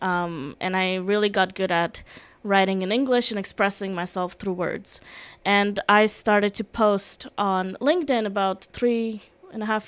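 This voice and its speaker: Speaking at a moderate pace with a non-native accent, a woman with a medium-pitched voice shows ordinary pitch variation. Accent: foreign. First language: Russian. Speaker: security and emergency management specialist. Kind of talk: podcast interview.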